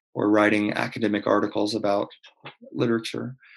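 A man speaks with an Oklahoma accent at a moderate pace. His pitch sits fairly low. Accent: Oklahoma American English. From Oklahoma, US. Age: 20s. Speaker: conductor and pianist. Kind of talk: casual interview. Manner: hesitant, many fillers.

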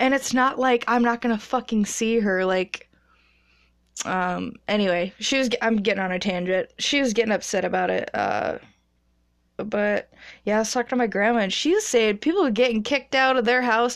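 At a moderate pace against a quiet background, a woman talks at a fairly high pitch with ordinary pitch variation. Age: 20s. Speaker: podcaster, massage therapist. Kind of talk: casual monologue. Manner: animated.

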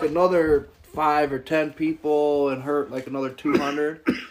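Fairly high male voice with an American accent, against noticeable background noise. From western New York, Jamestown. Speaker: podcast host. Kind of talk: casual chat.

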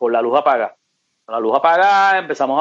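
A man is talking. Very wide swings mark his pitch. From Puerto Rico, Ponce. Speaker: radio host. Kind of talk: interview.

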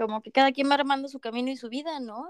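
A woman speaks here. Her voice sits high in pitch. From Mexico, Mérida (Yucatán). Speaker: international student. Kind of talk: interview.

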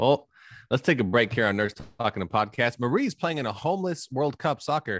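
In a very clean recording with a silent background and a dry, close sound with no echo, a man with a normal speaking voice talks at a fairly quick pace and medium pitch with lively intonation. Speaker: podcast host. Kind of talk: casual banter.

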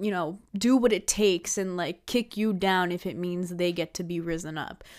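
On a very clean recording with a silent background, a woman with an ordinary speaking voice talks at a moderate pace with fairly even intonation. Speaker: podcaster. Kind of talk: casual solo podcast monologue. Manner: casual, filler-heavy, chatty.

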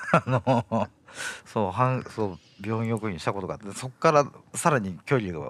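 A man's plain, everyday voice with a medium pitch, lively intonation, big swings in loudness and a moderate pace. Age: 30s. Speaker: interviewee. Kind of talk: interview.

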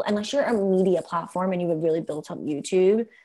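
With a Philadelphia accent, a woman speaks at medium pitch. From Philadelphia, US. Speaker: content marketing executive. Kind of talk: casual interview.

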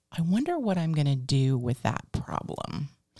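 A woman with an American accent speaks at a fairly slow pace, somewhat breathy, with lively intonation, on a very clean recording with a silent background. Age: 50s. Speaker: podcast host and business owner. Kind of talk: casual interview chat.

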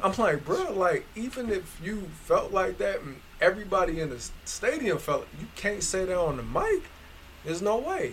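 A man's moderate-paced speech with noticeable background noise. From Northeast Ohio. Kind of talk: casual chat.

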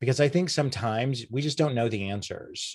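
With an American accent, the voice sounds somewhat breathy and has lively intonation. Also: man. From Oklahoma, Enid. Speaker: communications consultant. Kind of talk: interview.

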